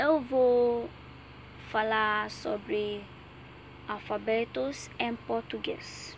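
Speaking very slowly with long, frequent pauses, a woman with a fairly high pitch uses lively intonation. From Nigeria. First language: English (speaking Portuguese). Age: 20s. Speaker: Portuguese language student. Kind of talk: reading aloud.

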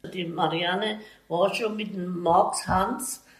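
A woman with a medium pitch speaks with audible room echo. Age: 80s+. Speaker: retired baker's family member. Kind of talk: casual interview.

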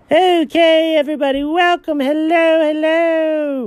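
A put-on character voice, squeaky and high in pitch. It moves at a fairly slow pace. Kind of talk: energetic, theatrical. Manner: grand, special-occasion announcer voice.

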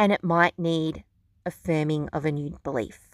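A woman's warm tone at a fairly slow pace, in a dry, close sound with no echo on a very clean recording with a silent background. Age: 30s. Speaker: podcast host and beauty clinic owner. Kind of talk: solo podcast monologue on spiritual self-development. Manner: warm, conversational.

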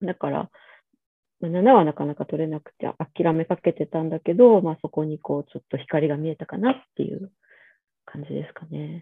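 A woman with a very deep, low pitch speaks at a moderate pace with ordinary pitch variation, big swings in loudness, and long, frequent pauses. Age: 40s. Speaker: pediatrician. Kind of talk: casual chat. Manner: casual, hesitant with fillers.

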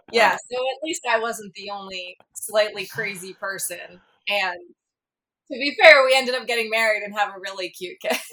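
A woman speaks at a moderate pace in a fairly high voice with a bright, sharp tone. Her loudness swings widely, and her pitch varies in an ordinary way. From South Jersey. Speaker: full-time RV traveler, parent. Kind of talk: casual chat.

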